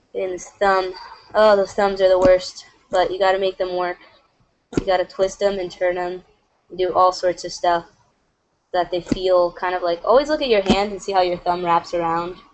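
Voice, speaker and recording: Pausing long and often, a woman talks at a medium pitch with fairly even intonation. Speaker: animator. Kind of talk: tutorial. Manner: casual, lots of fillers; fast.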